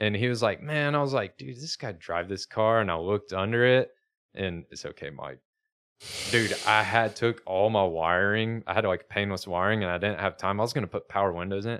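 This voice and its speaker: A man speaks at a fairly quick pace with a fairly low pitch. The recording is very clean, with a silent background. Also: ordinary pitch variation. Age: 30s. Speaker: drifter and car YouTuber. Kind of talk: casual chat. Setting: studio. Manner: animated.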